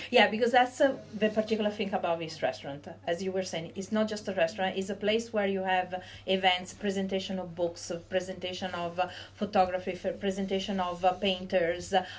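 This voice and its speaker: A woman with an Italian accent talks at a fairly quick pace in a medium pitch with fairly even intonation. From Venice, Italy. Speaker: podcast host. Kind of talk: casual interview. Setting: in a restaurant.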